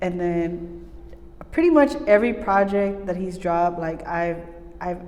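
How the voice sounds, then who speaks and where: A woman with a Spanish accent speaks at a fairly slow pace in a fairly low voice, her pitch varying in an ordinary way, with audible room echo and noticeable background noise. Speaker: recording and mixing engineer. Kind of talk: casual interview chat. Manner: halting, many fillers.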